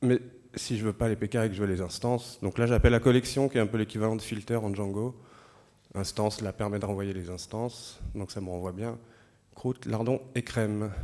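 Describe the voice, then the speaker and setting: Fairly even in intonation, a man speaks at a fairly quick pace with a fairly low pitch and a dark, mellow tone. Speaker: software developer giving a lightning talk. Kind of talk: conference lightning talk with live demo. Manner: hesitant, many fillers.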